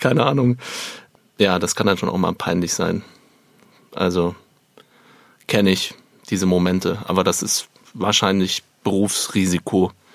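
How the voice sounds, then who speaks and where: A man with a very deep, low voice speaks at a moderate pace and fairly even intonation. He takes long, frequent pauses. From Germany, Upper Bavaria. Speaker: stage actor. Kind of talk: theatrical monologue.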